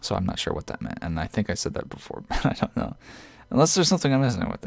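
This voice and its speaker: A man talks at a very fast pace and a medium pitch. His pitch swings very widely. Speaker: gaming youtuber. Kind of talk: casual commentary video.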